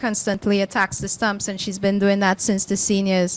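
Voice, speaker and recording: A woman speaks with a Trinidad and Tobago accent. Her pitch is medium. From Tobago, Trinidad and Tobago. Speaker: cricket board player director. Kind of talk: commentary-box interview. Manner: hesitant, many fillers.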